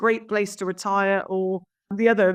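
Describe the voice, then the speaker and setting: A woman with a slight Somerset accent against a quiet background. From south-west England, Somerset. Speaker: estate agent. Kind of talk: interview. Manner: hesitant, many fillers.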